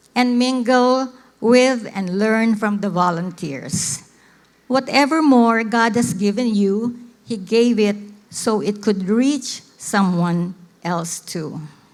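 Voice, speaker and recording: A woman speaks at a very slow pace. Her pitch sits fairly high, with ordinary variation. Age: 70s. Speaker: missionary. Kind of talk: testimony talk to church audience.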